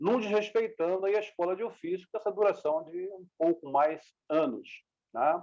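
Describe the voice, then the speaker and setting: Pitch swings very widely throughout. Delivery is fairly slow. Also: man. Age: 60s. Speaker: martial arts master. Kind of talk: interview.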